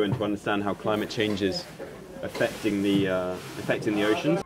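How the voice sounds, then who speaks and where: Over noticeable background noise, a man speaks fairly quickly in a fairly low pitch. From southern England, Surrey. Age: 20s. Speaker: professional sailor. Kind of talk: casual chat; interview. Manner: halting.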